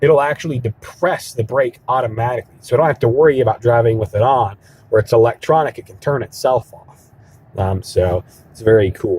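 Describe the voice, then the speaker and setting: A man talks at a fairly quick pace with a medium pitch and ordinary pitch variation. His voice is somewhat breathy, with big swings in loudness. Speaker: car salesman. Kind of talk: product walk-around demonstration. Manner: fast; casual, many fillers.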